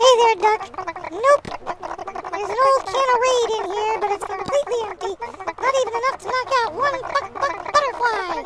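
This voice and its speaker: This is a put-on character voice. It is squeaky and pitched extremely high. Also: moderate pace. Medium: read story. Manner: casual, teasing.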